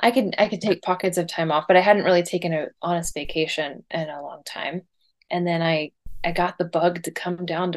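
A woman with an American accent, fairly low in pitch, in an unremarkable speaking voice at a fairly quick pace. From Indiana, US Midwest. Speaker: artist and illustrator. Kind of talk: casual interview.

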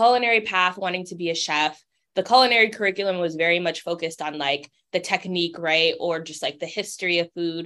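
Fairly quick speech from a woman with an American accent. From Cambridge, Massachusetts. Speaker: food justice advocate. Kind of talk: interview.

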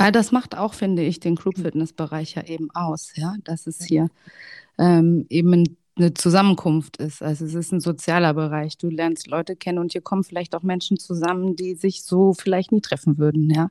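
A woman's fairly low voice, dark and mellow in tone, with a dry, close sound free of echo on a very clean recording over a silent background. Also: fairly even intonation, moderate pace. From Hesse, Germany. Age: 30s. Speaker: fitness instructor. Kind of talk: casual chat.

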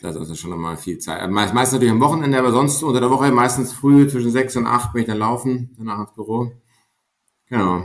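Speaking at a very fast pace, a man with a medium pitch uses ordinary pitch variation. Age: 30s. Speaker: mountaineer and management consultant. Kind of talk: podcast interview.

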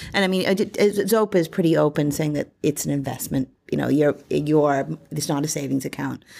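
Over a silent background in a very clean recording, a woman with a very deep, low pitch and a dark, mellow tone talks at a fairly quick pace with vocal fry and ordinary pitch variation. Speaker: commentator. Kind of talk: casual panel chat.

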